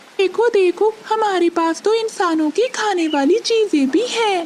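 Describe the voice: Extremely high in pitch, a cartoonish character voice moves at a fairly slow pace over clear background noise.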